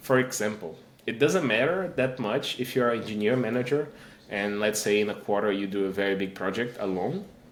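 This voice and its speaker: A man with a Portuguese accent speaks fairly quickly at a fairly low pitch with ordinary pitch variation, and the recording has audible room echo. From Brazil. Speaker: engineering manager and tech speaker. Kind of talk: podcast interview.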